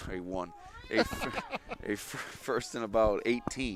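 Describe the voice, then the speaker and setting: A man speaks with fairly even intonation at a fairly low pitch. Noticeable background noise runs under the recording. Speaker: sports play-by-play announcer. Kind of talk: live commentary. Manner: fast.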